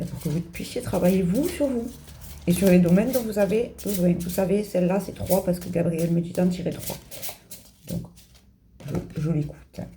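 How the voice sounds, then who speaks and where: A woman speaks with ordinary pitch variation and long, frequent pauses, her voice carrying audible room echo over music in the background. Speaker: tarot card reader. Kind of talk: card reading for viewers. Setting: home video, in pyjamas. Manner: fast.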